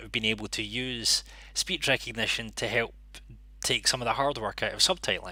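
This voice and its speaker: A man in a Scottish accent at a fairly quick pace, on a very clean recording with a silent background. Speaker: interpreting channel host. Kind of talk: live stream monologue.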